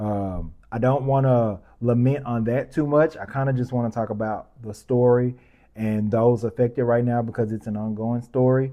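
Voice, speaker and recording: At a moderate pace, a man speaks in a medium pitch. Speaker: podcast host. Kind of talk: news commentary podcast. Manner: animated, passionate; calmer, measured.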